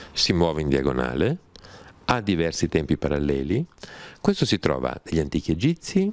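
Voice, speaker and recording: A man with a very deep, low voice and vocal fry talks at a moderate pace with lively intonation and very even loudness, taking long, frequent pauses in a dry sound with no echo. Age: 60s. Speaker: writer and scholar of religions; interviewee. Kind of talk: interview conversation. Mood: calm, explanatory. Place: home room. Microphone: handheld.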